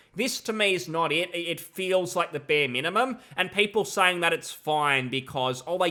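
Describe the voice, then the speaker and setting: In a very clean recording with a silent background, a man with an Australian accent speaks at a moderate pace, high in pitch with ordinary pitch variation and a bright, sharp tone. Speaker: gaming commentator. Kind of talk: video commentary. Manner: casual, frequent repetitions.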